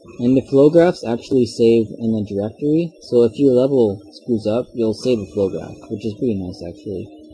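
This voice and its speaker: Music sounds in the background while the words come at a moderate pace. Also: man. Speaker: game engine tutorial maker. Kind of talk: software tutorial narration. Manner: casual, rambling.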